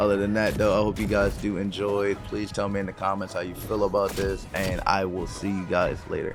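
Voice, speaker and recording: Over background music and audible room echo, a man talks at a fairly quick pace with hardly any pauses. His fairly low voice stays monotone and flat. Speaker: gaming YouTuber. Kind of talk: casual commentary.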